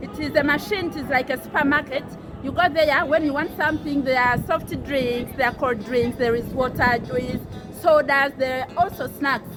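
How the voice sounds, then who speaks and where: In a Ugandan accent, a woman speaks in a high voice with ordinary pitch variation. Music plays in the background amid audible room echo. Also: moderate pace. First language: Luganda. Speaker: housemaid vlogger. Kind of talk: casual vlog. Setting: outdoors on a balcony. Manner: halting.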